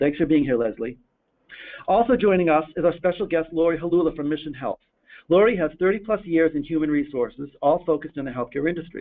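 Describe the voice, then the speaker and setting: Talking very fast with an American accent, a man uses a fairly high pitch and ordinary pitch variation. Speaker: webinar host. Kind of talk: webinar presentation. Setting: online webinar.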